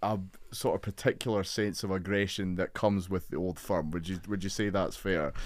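A man with a Scottish accent, very deep and low in pitch, at a fairly quick pace with fairly even intonation, on a very clean recording with a silent background. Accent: Scottish, Edinburgh. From Scotland. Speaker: podcast host. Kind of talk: interview. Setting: studio.

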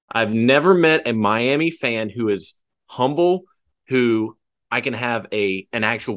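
A man has an unremarkable speaking voice at medium pitch, with lively intonation. The background is quiet. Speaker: podcast host. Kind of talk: casual sports podcast chat.

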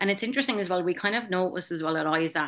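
A woman talks in a strong Kerry accent. Her pace is very fast. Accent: strong Kerry Irish. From Ireland, County Kerry (Tralee). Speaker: charity president and gallery manager. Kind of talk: casual chat. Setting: video call.

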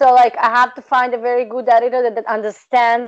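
A woman with a Serbian accent speaks in a fairly high voice. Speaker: PhD researcher and tutor. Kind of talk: interview conversation. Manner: direct, straightforward.

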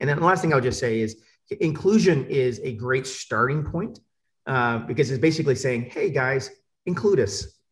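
With an American accent, a man talks at a moderate pace and medium pitch, his intonation lively and his voice somewhat breathy. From Atlanta, US South. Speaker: panelist. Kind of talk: panel discussion. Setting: video call.

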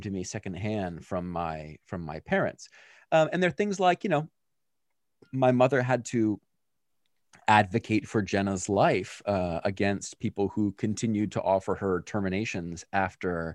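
A man with a plain, everyday voice and an American accent talks at a moderate pace and fairly low pitch, with lively intonation, against a quiet background in a dry, close sound with no echo. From Pennsylvania, US. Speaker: PhD student in ethics. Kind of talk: interview.

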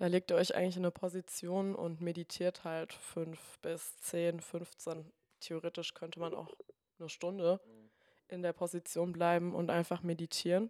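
A woman speaks at a moderate pace in a fairly low pitch with a dark, mellow tone and monotone, flat intonation, in a very clean recording with a silent background and a dry, close sound with no echo. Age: 20s. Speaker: yoga teacher and physiotherapist. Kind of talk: casual interview.

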